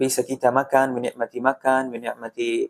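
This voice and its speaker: This man speaks with an Arabic accent at a moderate pace, his medium-pitched voice monotone and flat. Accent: Arabic-accented Indonesian. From Palestine, Gaza. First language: Arabic (speaking Indonesian). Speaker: Palestinian guest at charity event. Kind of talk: interview. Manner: halting, with fillers.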